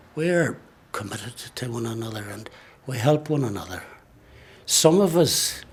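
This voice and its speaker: A fairly slow delivery in an Irish accent, over noticeable background noise. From Ireland. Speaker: Irish traveller sharing experience. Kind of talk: testimony.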